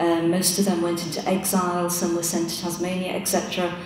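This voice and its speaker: Speaking at a moderate pace, a woman with a fairly low pitch is heard over light background noise, with audible room echo. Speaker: panelist. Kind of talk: interview answer. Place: hall. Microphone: podium.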